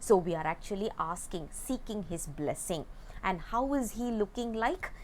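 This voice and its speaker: A woman with a Tamil accent speaks at a medium pitch. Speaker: religious text teacher. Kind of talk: lecture. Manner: halting, with fillers.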